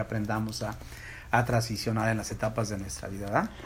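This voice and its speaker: Vocal fry at a fairly quick pace. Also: man. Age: 40s. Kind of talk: casual faith-based chat. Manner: halting, frequent repetitions.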